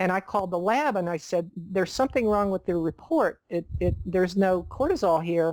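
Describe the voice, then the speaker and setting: A woman with an unremarkable speaking voice talks at a fairly quick pace with hardly any pauses. Her pitch is medium and her loudness very even. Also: ordinary pitch variation. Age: 60s. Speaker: nutritionist. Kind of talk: interview.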